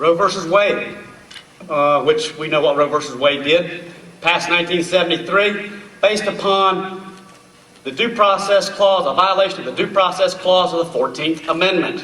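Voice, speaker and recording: A man speaks loudly at a high pitch and a moderate pace. His intonation is fairly even, and audible room echo surrounds the voice. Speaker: speaker on constitutional history. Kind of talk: public talk. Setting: stage with audience.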